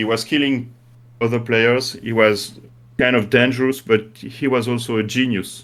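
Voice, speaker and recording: Speaking at a medium pitch and a moderate pace, a man with a French accent keeps his intonation fairly even. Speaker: game creator. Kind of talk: interview. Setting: live stream. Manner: halting.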